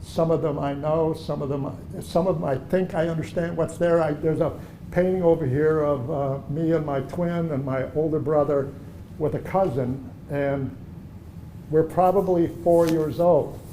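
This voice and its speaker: A fairly high-pitched man at a moderate pace, with fairly even intonation and audible room echo. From Germany, then Chicago from age seven. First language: German. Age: 70s. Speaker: artist. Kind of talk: gallery talk conversation. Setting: art gallery. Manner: conversational, with hesitations.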